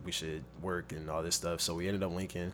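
In an American accent, a man speaks with a very deep, low pitch and fairly even intonation. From Compton and Long Beach, Southern California. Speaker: rapper and model. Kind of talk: casual chat.

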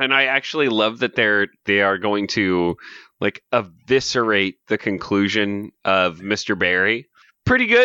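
With an American accent, a man speaks fairly slowly in a fairly low pitch, his tone playful, bright and sharp, with ordinary pitch variation over a quiet background. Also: dry, close sound with no echo. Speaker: podcast co-host. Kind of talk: casual chat, comedic podcast banter. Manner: joking, playful.

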